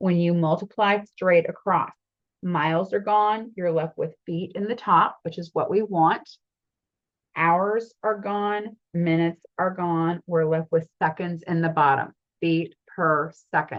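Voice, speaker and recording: A woman talks in a normal speaking voice at a fairly low pitch. Her intonation is fairly even and her pace fairly slow. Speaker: math teacher. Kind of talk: lecture.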